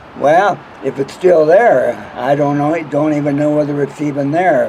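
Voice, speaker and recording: A man with an American accent speaks at a moderate pace in a fairly high pitch with fairly even intonation, over noticeable background noise. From Colorado, Windsor. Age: 80s+. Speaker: retired utility worker. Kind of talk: oral history interview. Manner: halting.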